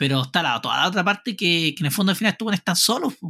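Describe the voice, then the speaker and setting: Speaking with a Chilean accent, a man uses a high pitch, a bright, sharp tone and lively intonation. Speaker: podcast host. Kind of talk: casual chat.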